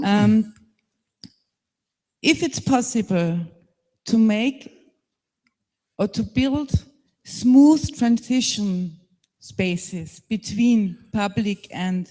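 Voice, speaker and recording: With a German accent, the speaker talks at a very slow pace, leaving long, frequent pauses. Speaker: panelist. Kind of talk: panel discussion. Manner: halting.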